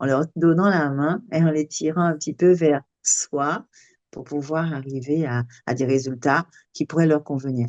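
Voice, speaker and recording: Her tone dark and mellow, a woman is heard with a dry, close sound, no echo and a quiet background. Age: 60s. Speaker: sophrologist. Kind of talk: casual chat. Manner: animated.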